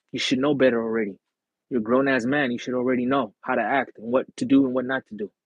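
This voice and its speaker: His pitch is medium. The man talks very fast. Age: 30s. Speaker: livestreamer. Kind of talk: casual livestream chat. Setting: live stream. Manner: animated. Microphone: earphone mic issue.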